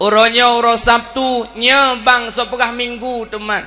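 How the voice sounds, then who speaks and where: At a fairly slow pace, a man with an Aceh accent speaks in a raised, projected voice at an extremely high pitch, in an animated tone. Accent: Acehnese. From Aceh, Indonesia. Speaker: Islamic preacher; religious preacher. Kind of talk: sermon. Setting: religious event with audience. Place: stage. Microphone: handheld.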